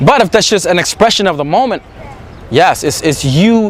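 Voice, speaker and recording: Amid noticeable background noise, a man speaks fairly quickly in a high, animated voice with ordinary pitch variation. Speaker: dating coach. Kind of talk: monologue to camera. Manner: occasional stutter.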